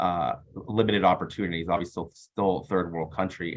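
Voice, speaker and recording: A man's very deep, low voice with a Californian accent, fairly quick and fairly even in intonation. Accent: Californian American English. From US West Coast, East Los Angeles. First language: Spanish. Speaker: business executive. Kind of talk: interview.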